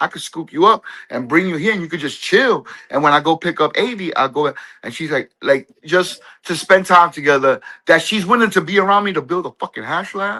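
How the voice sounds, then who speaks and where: A loud, animated man's voice, high-pitched with a bright, sharp tone, at a fairly quick pace in a dry, close sound with no echo. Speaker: cannabis grower, live stream guest or host. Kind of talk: casual chat.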